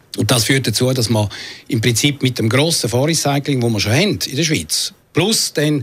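At a moderate pace, a somewhat breathy man speaks with ordinary pitch variation. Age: 60s. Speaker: city councillor. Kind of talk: radio interview. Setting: studio.

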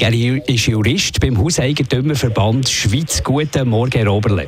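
Over noticeable background noise, a man talks at a medium pitch and a moderate pace with ordinary pitch variation. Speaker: radio presenter. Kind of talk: call-in radio moderation.

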